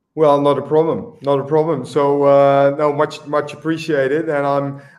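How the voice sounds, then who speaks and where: A man with a Dutch accent and a fairly high pitch. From Netherlands, Eindhoven. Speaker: swim coach. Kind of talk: interview.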